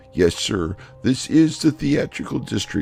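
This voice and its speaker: Clear music plays behind a guttural, put-on character voice with lively intonation at a fairly slow pace. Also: man. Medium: read story. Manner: ungrammatical, rambling.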